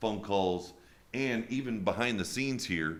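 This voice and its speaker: Booming through audible room echo, a man speaks at a fairly slow pace and fairly low pitch with ordinary pitch variation. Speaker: podcast host. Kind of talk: interview.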